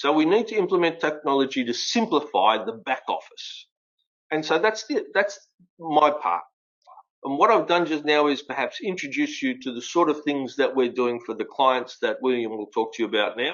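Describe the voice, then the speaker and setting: This man talks at a moderate pace with an Australian accent and a fairly high pitch. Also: lively intonation. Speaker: fleet and mobility expert. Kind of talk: webinar presentation.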